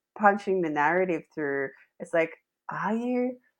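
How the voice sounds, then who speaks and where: A woman at a medium pitch, with a normal speaking voice. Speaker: podcast host. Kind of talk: podcast host conversation.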